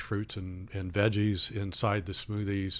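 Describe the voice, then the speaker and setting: A man's fairly low, monotone, flat voice in a Midwestern American accent at a very slow pace. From Indiana, US Midwest. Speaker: smoothie cafe franchise owner. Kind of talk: radio interview. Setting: radio studio.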